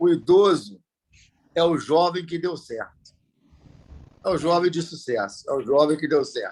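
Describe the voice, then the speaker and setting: This is a man speaking. His pitch is fairly high. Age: 50s. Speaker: Rotary club member. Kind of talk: speech at club meeting.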